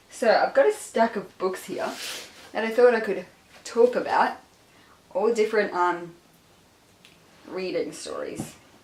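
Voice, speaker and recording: Noticeable background noise runs behind a woman's voice. She speaks at a fairly slow pace with long, frequent pauses. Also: fairly high pitch for a woman, ordinary pitch variation. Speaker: book vlogger. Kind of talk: casual chat. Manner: animated.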